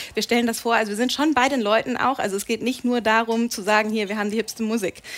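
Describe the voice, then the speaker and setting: With fairly even intonation, a woman talks at a fairly quick pace in a fairly high pitch. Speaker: TV and radio presenter. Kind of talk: talk show interview. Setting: pub stage with live audience. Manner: talkative.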